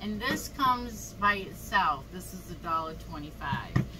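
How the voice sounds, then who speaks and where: A woman talks at a very slow pace. Noticeable background noise runs through the clip. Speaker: craft vlogger. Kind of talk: casual tutorial. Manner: casual, chatty.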